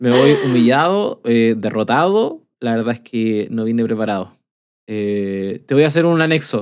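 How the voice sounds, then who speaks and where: A man talks fairly slowly with a Chilean accent. His intonation is lively. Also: medium pitch for a man. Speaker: podcast co-host. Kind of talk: casual chat.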